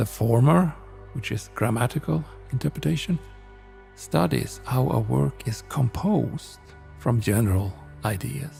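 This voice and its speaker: A calm-toned man speaks at a fairly slow pace with long, frequent pauses over music in the background. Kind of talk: sleep reading of encyclopedia text. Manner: slow, calm.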